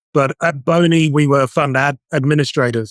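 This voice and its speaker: A man with a British accent speaks at a moderate pace in a fairly high voice. The sound is dry and close, with no echo. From UK. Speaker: outsourced CFO. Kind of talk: interview.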